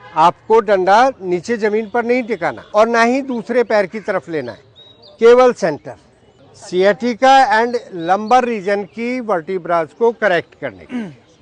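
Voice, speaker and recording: A man's high voice with ordinary pitch variation and big swings in loudness, in a dry, close sound with no echo and noticeable background noise. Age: 70s. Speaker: doctor demonstrating exercises for seniors. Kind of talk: exercise demonstration.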